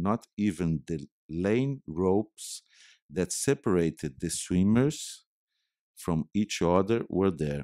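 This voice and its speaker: A man's very deep, low voice with a dark, mellow tone and lively intonation, delivered at a very slow pace in a dry, close sound with no echo on a very clean recording with a silent background. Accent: Brazilian. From Brazil, Minas Gerais. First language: Portuguese. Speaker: artist and filmmaker. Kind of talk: reading aloud. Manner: halting.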